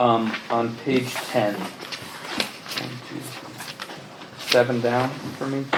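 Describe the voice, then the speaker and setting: A soft-spoken man at a medium pitch is heard with audible room echo and noticeable background noise. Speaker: planning board member. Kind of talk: board meeting discussion.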